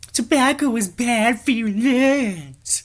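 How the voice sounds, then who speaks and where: Using a put-on character voice, a female-sounding speaker talks at a very slow pace with a high pitch. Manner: obnoxious.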